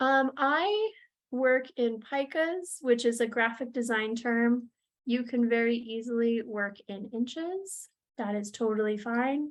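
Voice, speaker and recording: Against a quiet background, a woman talks at a fairly slow pace. Her high pitch shows ordinary variation. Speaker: proposal manager and software trainer. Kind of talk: tutorial.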